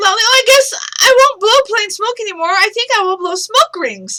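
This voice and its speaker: Squeaky and extremely high, a woman puts on a character voice. She keeps to a moderate pace. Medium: read story.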